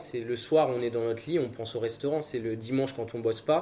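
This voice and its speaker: Ordinary pitch variation runs through a man's plain, everyday voice as he talks at a moderate pace. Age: 20s. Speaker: restaurant co-owner. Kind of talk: interview.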